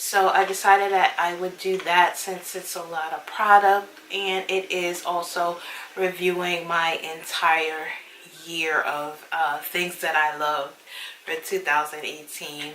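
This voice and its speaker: A woman's monotone, flat voice at a fairly slow pace, with noticeable background noise and audible room echo. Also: fairly low pitch for a woman. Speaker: beauty YouTuber. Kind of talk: casual talk-through review. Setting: at home.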